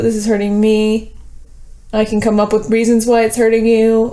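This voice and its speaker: This woman's voice is fairly high in pitch with a dark, mellow tone. The room echo is audible. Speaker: documentary subject. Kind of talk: emotional argument. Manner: halting.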